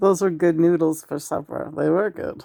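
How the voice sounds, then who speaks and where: A woman puts on a raspy character voice. Her pitch is fairly low and her pace is moderate. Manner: impression of the other speaker's own voice.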